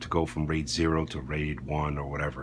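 Light background noise is present. A man does the talking. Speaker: product reviewer. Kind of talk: tutorial. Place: home room. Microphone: phone near.

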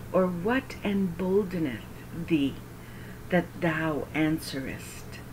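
A woman's fairly low voice at a very slow pace, with ordinary pitch variation, a warm tone and noticeable background noise. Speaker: Bible reader and prayer leader. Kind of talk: devotional scripture reading in KJV with opening and closing prayers. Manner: earnest, reverent, slightly halting, stumbles and self-corrects; warm, gently paced, prayerful.

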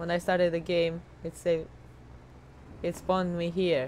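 A woman's fairly low voice moves at a fairly slow pace. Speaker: gamer. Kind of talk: casual gameplay commentary. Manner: rambling, jokey.

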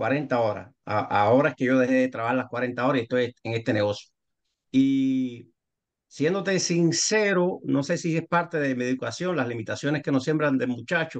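A man's voice sits at a medium pitch, rising and falling in an ordinary way as he speaks at a moderate pace. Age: 60s. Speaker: architect turned business participant. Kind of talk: casual group discussion. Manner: halting.

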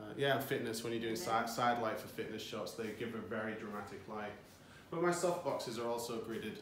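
Over light background noise and audible room echo, a man speaks at a fairly quick pace. His pitch variation is ordinary. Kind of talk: interview answer. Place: studio. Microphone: phone near.

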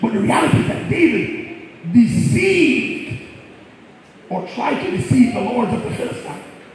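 An animated man's voice at an extremely high pitch with very wide pitch swings, a moderate pace, strong room echo and light background noise. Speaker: preacher. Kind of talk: sermon. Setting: church. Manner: loud. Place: church.

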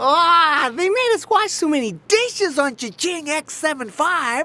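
It is a put-on character voice pitched high. The delivery moves at a moderate pace. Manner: excited, upbeat.

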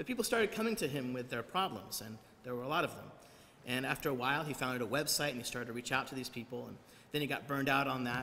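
A man speaks at a very fast pace. Light background noise can be heard. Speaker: preacher. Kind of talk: sermon. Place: church. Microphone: podium.

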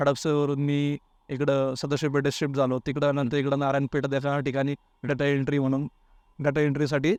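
A man speaks in a monotone, flat intonation at a fairly high pitch, his loudness very even. The sound is dry and close with no echo, against a quiet background. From Maharashtra, Baramati area, Pune district. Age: 30s. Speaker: competitive exam aspirant. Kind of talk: interview.

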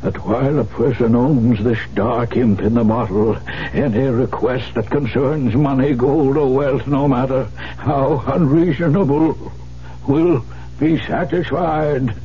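A man's raspy, put-on character voice, medium in pitch, fairly slow, with very even loudness. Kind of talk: 1970s radio drama acting. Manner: urgent, fearful.

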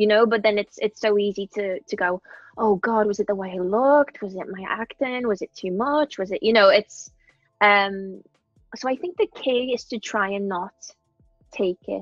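Against faint music in the background, a woman with a Liverpool accent talks with ordinary pitch variation in a dry sound with no echo. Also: moderate pace. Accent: Scouse. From Liverpool, England. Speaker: actress. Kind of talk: interview answer. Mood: reflective, candid. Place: home room. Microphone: earbuds.

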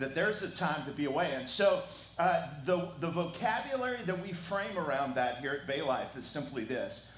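A man speaks at a moderate pace with lively intonation, and room echo is audible. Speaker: pastor. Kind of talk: sermon welcome and prayer. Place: church. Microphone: headset.

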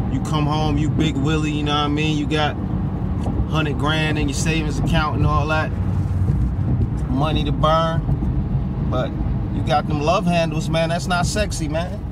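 A man at a moderate pace with long, frequent pauses, dry sound with no echo, and loud background noise. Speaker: truck driver vlogger. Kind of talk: casual vlog chat. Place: car. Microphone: phone near.

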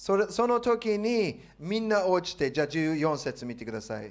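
A man with an English accent speaks at a fairly slow pace. His tone is animated. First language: English (speaking Japanese). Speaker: pastor. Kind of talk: sermon. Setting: church. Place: church. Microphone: handheld.

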